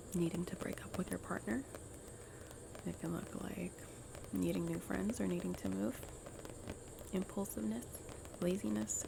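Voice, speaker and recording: Soft-spoken delivery over noticeable background noise. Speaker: grief worker. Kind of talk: ASMR soft-spoken ramble.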